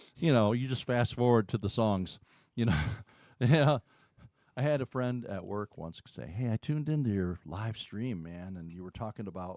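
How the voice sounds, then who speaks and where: A man's medium-pitched voice with an American accent, lively intonation and big swings in loudness, at a moderate pace, in a very clean recording with a silent background and a dry, close sound with no echo. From Detroit area, Michigan. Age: 60s. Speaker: singer-songwriter. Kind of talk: casual chat. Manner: talkative.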